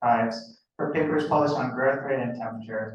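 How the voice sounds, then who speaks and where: A man speaks at a fairly quick pace in a somewhat breathy voice. Audible room echo surrounds him. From US Pacific Northwest, Seattle. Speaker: graduate student. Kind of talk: student presentation.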